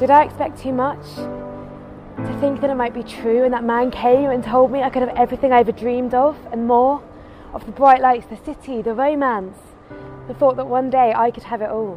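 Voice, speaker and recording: A woman speaks at a high pitch with fairly even intonation but big swings in loudness. Music plays in the background. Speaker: spoken word poet. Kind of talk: spoken word poetry performance. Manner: impassioned, earnest.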